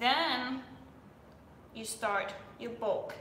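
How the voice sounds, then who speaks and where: A woman in a Danish accent speaks at a high pitch, with audible room echo and noticeable background noise. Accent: Danish-accented English, self-described weird. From Denmark. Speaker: fitness influencer. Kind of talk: live stream Q&A. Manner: casual, chatty.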